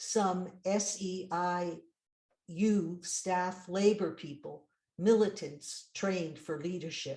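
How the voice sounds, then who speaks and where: Somewhat breathy and dark, mellow in tone, a woman at medium pitch speaks at a very slow pace with fairly even intonation and big swings in loudness. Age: 80s+. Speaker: poet. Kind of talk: poetry reading. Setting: video call.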